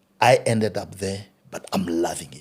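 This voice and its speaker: The speaker is a man. His pitch is fairly low. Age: 50s. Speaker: funeral business owner. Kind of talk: interview.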